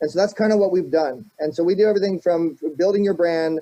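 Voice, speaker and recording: A man's dark, mellow tone at a fairly quick pace. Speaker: marketing entrepreneur and show host. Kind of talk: interview. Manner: fast; animated.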